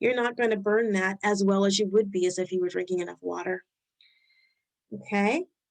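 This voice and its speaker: With a slight Rhode Island accent, a woman with a medium-pitched voice speaks at a fairly quick pace with fairly even intonation and long, frequent pauses. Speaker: health educator. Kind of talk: webinar presentation. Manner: halting.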